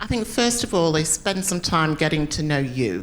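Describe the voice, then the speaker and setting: A woman speaks with a northern English accent at a moderate pace. Her fairly low pitch carries lively intonation. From northern England, Preston, Lancashire. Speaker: business executive, panelist. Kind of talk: panel discussion.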